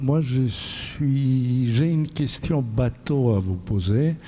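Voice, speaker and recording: Over noticeable background noise, a man talks at a very slow pace, his loudness very even and his pitch variation ordinary. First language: not French (speaking French). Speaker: audience member. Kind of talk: audience question.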